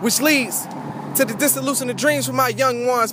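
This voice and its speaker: A man with an American accent speaks at an extremely high pitch, with noticeable background noise. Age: young. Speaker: spoken word poet. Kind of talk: spoken word performance.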